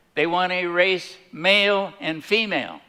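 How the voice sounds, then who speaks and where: This man's voice has a bright, sharp tone. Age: 80s+. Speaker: speaker. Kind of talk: testimony. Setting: stage with audience.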